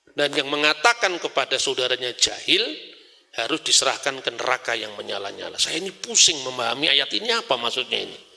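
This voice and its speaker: At a fairly quick pace, a man talks in a fairly high voice with very wide pitch swings over noticeable background noise. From Java, Indonesia. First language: Javanese (speaking Indonesian). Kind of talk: religious lecture.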